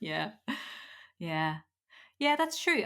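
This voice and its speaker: The speaker is a woman with a Dutch accent. Her pitch swings very widely. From Netherlands. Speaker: podcast host. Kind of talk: casual chat.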